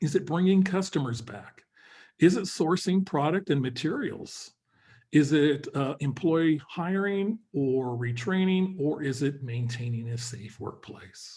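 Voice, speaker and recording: His voice has a dark, mellow tone, fairly high pitch and a somewhat breathy quality. The man speaks at a fairly slow pace with lively intonation. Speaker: webinar host and business advisor. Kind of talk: webinar presentation. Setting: online webinar.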